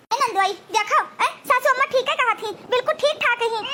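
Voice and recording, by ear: A squeaky, cartoonish character voice from a woman, extremely high in pitch and very fast.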